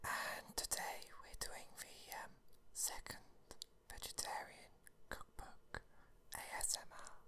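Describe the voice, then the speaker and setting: The speaker whispers. The pace is very slow. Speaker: ASMR creator. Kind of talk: soft-spoken ASMR reading chat. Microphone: phone near.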